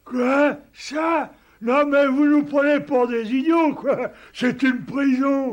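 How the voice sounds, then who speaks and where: This is a cartoonish character voice. It goes at a very slow pace. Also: man, extremely high pitch for a man. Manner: slow, naive.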